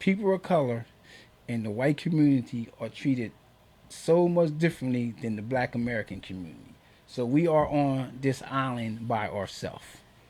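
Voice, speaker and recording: Speaking at a moderate pace, a man with a dark, mellow tone and medium pitch uses lively intonation and big swings in loudness. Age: 60s. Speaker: filmmaker. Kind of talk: radio interview. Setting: radio studio. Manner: animated.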